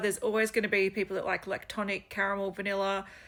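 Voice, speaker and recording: A woman speaks with an Australian accent at a medium pitch. Her intonation stays monotone and flat. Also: very clean recording, silent background. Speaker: fragrance reviewer. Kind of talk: casual product review vlog. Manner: casual, hesitant with fillers.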